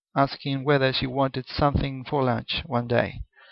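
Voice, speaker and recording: A man with a Spanish accent and a fairly high pitch speaks at a moderate pace with fairly even intonation. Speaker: accountant. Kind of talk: personal monologue video. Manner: halting, many false starts.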